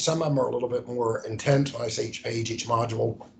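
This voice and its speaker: A man speaks with an American accent. There is audible echo from the room. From US South, Charleston. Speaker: hazmat safety trainer. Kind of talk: recorded training lecture. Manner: casual, frequent fillers and restarts.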